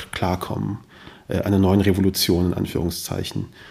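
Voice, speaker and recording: Fairly low-pitched male voice with a dark, mellow tone, monotone, flat intonation and a moderate pace. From Germany, Kassel (Hesse). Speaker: podcaster and journalist. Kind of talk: interview conversation.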